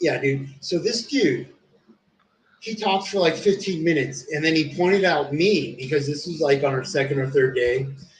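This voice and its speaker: An American-accented man with a normal speaking voice talks at a moderate pace, his fairly high pitch varying in an ordinary way. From US (came as toddler from abroad). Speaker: streamer. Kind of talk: casual chat.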